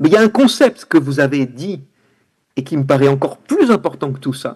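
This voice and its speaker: Lively intonation marks a man's somewhat breathy voice at a moderate pace. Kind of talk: round-table talk.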